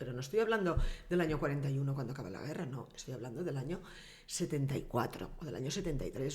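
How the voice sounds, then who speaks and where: Somewhat breathy and very fast, a woman speaks amid audible room echo. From Valencian Community, Castellón province (Vinaròs). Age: 60s. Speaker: former mayor and politician. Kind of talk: casual interview.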